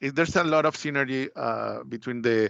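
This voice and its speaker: A fairly high-pitched man speaks with a Spanish accent at a moderate pace. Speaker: Mexican customs and export expert. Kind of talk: webinar presentation. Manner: halting.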